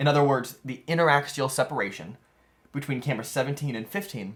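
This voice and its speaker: Somewhat breathy, a man at medium pitch speaks at a very fast pace. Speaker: DIY VR camera rig maker. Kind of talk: tutorial narration.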